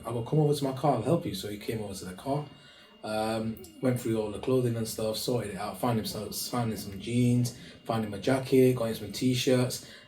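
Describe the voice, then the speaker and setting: With noticeable background noise and audible room echo, a man talks at a very fast pace in a medium pitch with ordinary pitch variation. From northwest England, Bolton. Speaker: charity founder. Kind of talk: interview. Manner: hesitant, many fillers.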